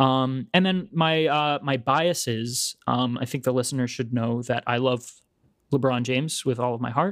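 A man with an ordinary speaking voice talks at a moderate pace and medium pitch, with ordinary pitch variation. The recording is very clean, with a silent background. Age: 20s. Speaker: podcast co-host, actor. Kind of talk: casual chat.

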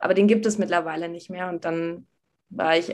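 At a moderate pace comes a plain, everyday voice. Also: woman. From Berlin, Germany. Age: 20s. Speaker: university student. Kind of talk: casual interview.

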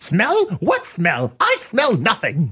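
The voice is a put-on character voice. Its pitch sits in the middle. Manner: gruff, dismissive.

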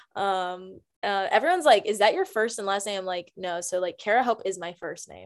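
A woman with an American accent speaks at a medium pitch and a fairly quick pace in an animated tone, with ordinary pitch variation. Her loudness swings widely, and the recording is very clean with a silent background. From US South, Greensboro, North Carolina. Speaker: actress. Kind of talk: casual interview.

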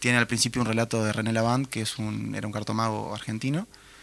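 Moving at a fairly quick pace, a man speaks at a medium pitch with fairly even intonation. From Uruguay, Minas (Lavalleja). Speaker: musician. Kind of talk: interview.

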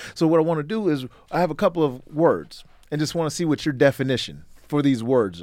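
A man with a fairly high pitch and ordinary pitch variation, speaking in an ordinary speaking voice. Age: 30s. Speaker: podcast host, former college football player. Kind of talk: casual interview. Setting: in person, Las Vegas.

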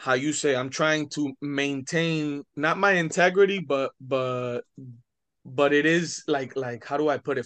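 A man with an American accent speaks at a fairly high pitch with ordinary pitch variation against a quiet background. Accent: Miami Cuban American English. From Miami, Florida (Hialeah). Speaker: rapper. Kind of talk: casual interview chat.

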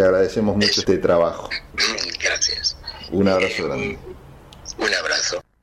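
A man at a moderate pace with long, frequent pauses. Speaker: radio host. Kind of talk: interview.

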